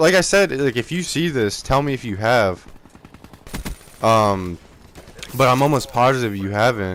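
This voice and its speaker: A man talks at a very slow pace while noticeable background noise runs underneath. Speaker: gaming youtuber. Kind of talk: video commentary. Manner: halting, filler-heavy; casual.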